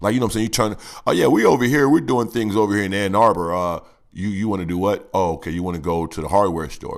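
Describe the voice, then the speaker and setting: Over a silent background in a very clean recording, a man with a fairly low pitch talks at a very fast pace in an animated tone, with lively intonation and big swings in loudness. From Chicago. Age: 40s. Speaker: battle rapper / vlogger. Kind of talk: rant. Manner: sounds angry.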